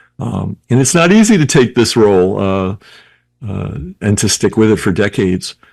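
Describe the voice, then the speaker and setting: With lively intonation, a man speaks at a moderate pace in a fairly low voice. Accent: New York. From New York City. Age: 60s. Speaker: health advocate and researcher. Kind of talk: interview.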